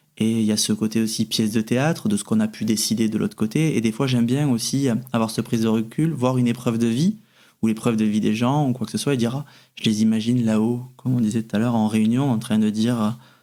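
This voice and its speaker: A man with a Toulouse accent speaks at a very fast pace in a dark, mellow tone, with fairly even intonation and very even loudness, on a very clean recording with a silent background. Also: medium pitch for a man. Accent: Toulouse, southern French. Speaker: medium. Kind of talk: interview answer.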